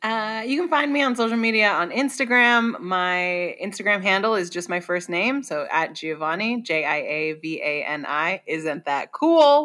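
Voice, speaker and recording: A woman with an American accent talks at a moderate pace with hardly any pauses, using a bright, sharp, animated tone, a medium pitch and very wide pitch swings, on a very clean recording with a silent background. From Washington State, US. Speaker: comedian and improv performer. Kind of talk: casual interview chat. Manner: animated, laughing often.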